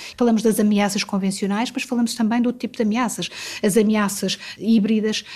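A woman speaks at a fairly quick pace in a European Portuguese accent, her fairly high voice delivered in a monotone with flat intonation. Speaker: diplomat. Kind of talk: interview. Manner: halting.

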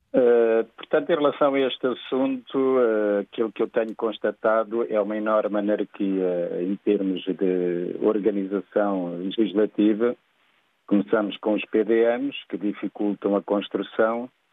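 A man speaks at a fairly slow pace in an unremarkable speaking voice. His pitch is fairly low, with ordinary variation. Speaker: real estate consultant caller. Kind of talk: phone-in opinion. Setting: phone call.

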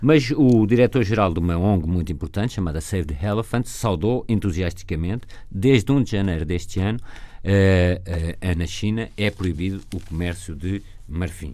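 At a moderate pace, a man speaks with a very deep, low pitch, ordinary pitch variation and a dark, mellow tone. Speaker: panel commentator. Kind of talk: panel discussion.

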